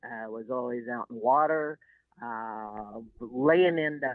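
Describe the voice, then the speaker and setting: A woman with a very deep, low pitch and a Texan accent, her pitch varying in an ordinary way. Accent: Texan Southern US. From US South, Texas Gulf Coast (Seadrift). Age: 70s. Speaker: shrimp boat captain and environmental activist. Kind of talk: interview.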